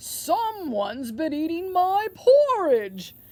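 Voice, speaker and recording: Someone puts on a character voice at an extremely high pitch, speaking at a very slow pace with very wide pitch swings. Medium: read story.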